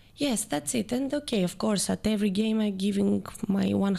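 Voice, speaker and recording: At a medium pitch, a woman with a Greek accent talks at a moderate pace in a dark, mellow tone with ordinary pitch variation. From Greece (Athens). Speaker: water polo player. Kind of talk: podcast interview. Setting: studio. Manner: halting.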